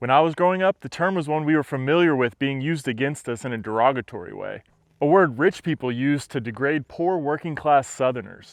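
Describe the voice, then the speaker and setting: This man has an American accent and talks at a fairly quick pace with ordinary pitch variation. The sound is dry and close with no echo, against a quiet background. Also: fairly high pitch for a man. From Texas. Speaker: podcast host. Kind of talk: scripted narration.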